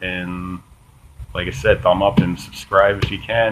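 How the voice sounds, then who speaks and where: A man's voice over noticeable background noise. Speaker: political video blogger. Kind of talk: casual, some profanity. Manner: monotone, flat, low energy; hesitant, many fillers.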